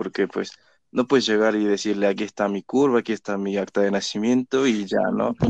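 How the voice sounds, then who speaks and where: A man speaks at a fairly quick pace and a fairly low pitch with ordinary pitch variation, in a dry, close sound with no echo. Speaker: student presenter. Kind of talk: educational explanation.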